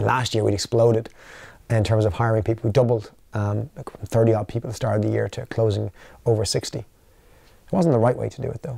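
A man with an Irish accent talks at a very fast pace with long, frequent pauses, a dark, mellow tone and a somewhat breathy sound. His intonation is fairly even, and the recording is dry with no echo and a quiet background. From Ireland. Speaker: company founder and CEO; interviewee. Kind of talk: interview. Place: studio.

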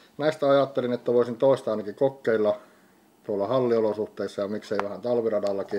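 A man's dark, mellow tone at a fairly quick pace, with ordinary pitch variation. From Finland. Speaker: disc golf YouTuber. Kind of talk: product unboxing video. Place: home room. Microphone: studio mic.

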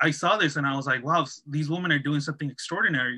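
Fairly high in pitch, a man's voice has a bright, sharp tone. His pitch varies in an ordinary way, and the background is quiet. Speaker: documentary filmmaker. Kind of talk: panel Q&A. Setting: video call. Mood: earnest, reflective. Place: home room. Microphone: video call.

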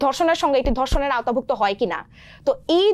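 A woman's voice with very wide pitch swings. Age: 20s. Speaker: student activist. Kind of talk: TV talk show interview.

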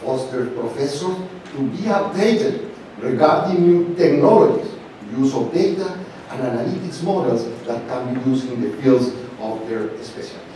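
A man with a Spanish accent speaks at a moderate pace in a fairly high pitch, with very wide pitch swings. Strong room echo and light background noise fill the recording. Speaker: professor and conference chair. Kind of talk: opening speech. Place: hall. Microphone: podium.

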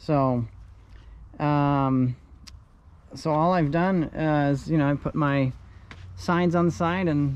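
At a slow pace, a man speaks with fairly high pitch.

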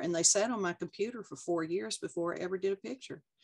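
Over a quiet background, a woman with a Texas accent and a fairly low pitch talks at a very fast pace. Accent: Texas twang. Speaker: art instructor, oil and colored pencil painter; interviewee. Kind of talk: interview answer. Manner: candid, charming. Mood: warm, amused. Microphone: video call.

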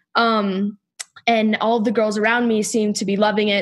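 At a moderate pace comes a normal speaking voice. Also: woman. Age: 20s. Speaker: former college gymnast. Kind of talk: casual interview conversation.

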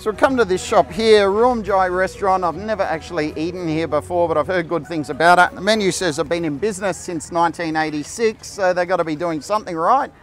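A man with a high pitch talks at a fairly quick pace with hardly any pauses and ordinary pitch variation. The sound is dry with no echo, and faint music plays in the background. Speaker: food vlogger. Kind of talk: casual vlog chat. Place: market. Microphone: lapel.

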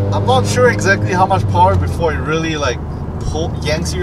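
Over music in the background, a man speaks at a moderate pace in a dry sound with no echo. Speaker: car channel host. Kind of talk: casual interview questions. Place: car. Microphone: phone near.

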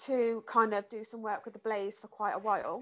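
In a British accent, a woman speaks at a fairly high pitch. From England. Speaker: mental health and exercise coach. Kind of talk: casual interview. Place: home room. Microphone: earbuds.

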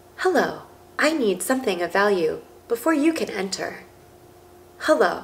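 A woman's put-on character voice, robotic and high-pitched, with very wide pitch swings at a moderate pace. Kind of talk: casual vlog chat. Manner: repetitive, flat.

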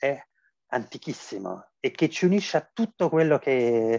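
A man with an unremarkable speaking voice, fairly high in pitch, talks at a fairly slow pace with ordinary pitch variation. The background is quiet and the sound is dry with no echo. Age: 40s. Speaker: philosophy professor. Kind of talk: interview. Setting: video call. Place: home room. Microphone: video call.

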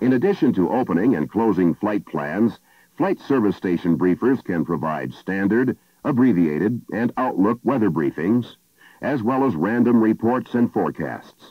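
In a plain, everyday voice with lively intonation, someone speaks at a moderate pace against a quiet background. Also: man, fairly low pitch for a man, dry sound with no echo. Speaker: film narrator. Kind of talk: instructional narration.

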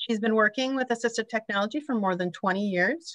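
Over a quiet background, a woman with a bright, sharp tone talks at a fairly quick pace, her fairly high pitch showing ordinary pitch variation in a dry, close sound with no echo. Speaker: webinar moderator for an aging services agency. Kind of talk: webinar moderation. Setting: video call.

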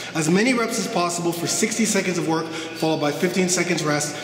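Over noticeable background noise, a man with a high pitch talks at a fairly quick pace with ordinary pitch variation. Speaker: fitness trainer. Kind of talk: workout intro talk to camera.

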